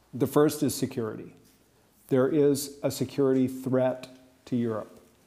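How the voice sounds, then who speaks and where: A man with an American accent and a medium-pitched voice speaks fairly slowly with fairly even intonation. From United States. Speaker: political scientist. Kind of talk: panel discussion. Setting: stage with audience.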